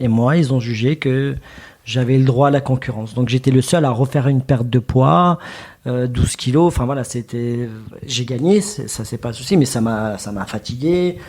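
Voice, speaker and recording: A man's medium-pitched voice with a dark, mellow tone, ordinary pitch variation and moderate pace. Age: 30s. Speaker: retired wrestler. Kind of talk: podcast interview. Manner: halting.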